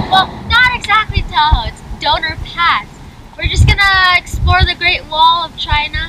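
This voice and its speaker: Her pitch is extremely high, and the woman talks at a fairly slow pace. The sound is dry with no echo, though noticeable background noise is present. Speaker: travel vlogger. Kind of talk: casual vlog chat. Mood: playful, upbeat. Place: open country.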